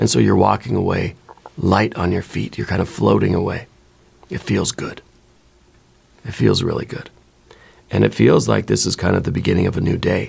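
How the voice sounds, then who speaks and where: In a put-on character voice, a man speaks hoarsely at a very deep, low pitch and a moderate pace, in a calm, soothing tone with very wide pitch swings and long, frequent pauses. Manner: calm, soothing guided-meditation delivery.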